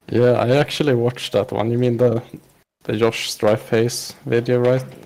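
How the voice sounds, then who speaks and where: This man has a Swedish accent and a medium pitch, speaking at a moderate pace. His intonation stays monotone and flat. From Sweden. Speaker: podcast guest, online gamer. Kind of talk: casual interview. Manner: hesitant, many fillers.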